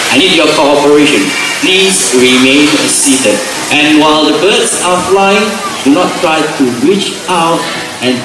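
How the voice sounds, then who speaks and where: Amid noticeable background noise and audible room echo, a man speaks at a fairly slow pace with ordinary pitch variation and long, frequent pauses. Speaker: presenter. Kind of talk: show commentary. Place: stadium.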